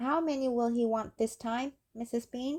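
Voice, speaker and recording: This is a put-on character voice, female-sounding and high-pitched for a woman. It moves at a moderate pace. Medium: read story.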